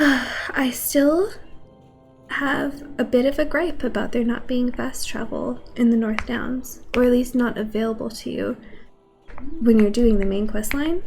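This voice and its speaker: A soft-spoken woman's high voice, fairly slow with ordinary pitch variation, over background music. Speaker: streamer. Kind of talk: casual livestream talk while gaming.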